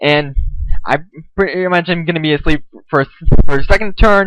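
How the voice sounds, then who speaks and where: A man's high-pitched voice, fairly quick and with lively intonation, in a dry, close sound with no echo. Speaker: gaming YouTuber. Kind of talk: live gameplay commentary. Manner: stuttering; casual.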